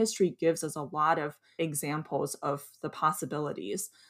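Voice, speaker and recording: In a very clean recording against a silent background, a woman with an American accent speaks at a very deep, low pitch. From US Midwest. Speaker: co-founder of an immigrant history education nonprofit. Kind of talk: podcast interview.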